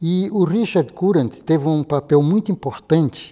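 Over a quiet background, a man speaks at a fairly high pitch with lively intonation. His tone is dark and mellow. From Ceará, northeastern Brazil. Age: 80s+. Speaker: mathematician. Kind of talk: interview testimony; interview answer. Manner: halting, with frequent fillers. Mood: calm, reflective. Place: studio. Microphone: lapel.

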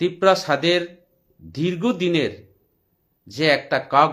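This man has a normal speaking voice pitched fairly high. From Tripura, India. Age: 40s. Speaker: political commentator. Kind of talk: political monologue.

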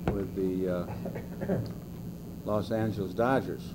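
The speaker is a man. Noticeable background noise can be heard. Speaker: interviewee. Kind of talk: interview answer. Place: meeting room. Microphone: old recording.

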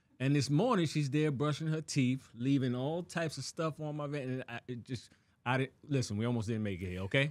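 Fairly quick, animated male speech at a medium pitch. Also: ordinary pitch variation. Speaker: podcast co-host. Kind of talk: casual chat. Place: studio. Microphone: studio mic.

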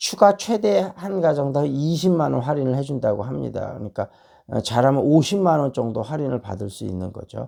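On a very clean recording with a silent background, a man speaks at a moderate pace with a fairly high pitch. His dark, mellow tone shows big swings in loudness. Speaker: stock market and English education YouTuber. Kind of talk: monologue on stock outlook and book reading. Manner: casual with many fillers.

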